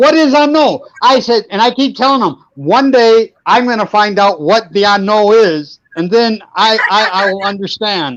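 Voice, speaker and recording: A high-pitched man with lively intonation, at a fairly slow pace with hardly any pauses. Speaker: co-host of a couple's live stream. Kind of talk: casual group chat on a livestream. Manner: animated.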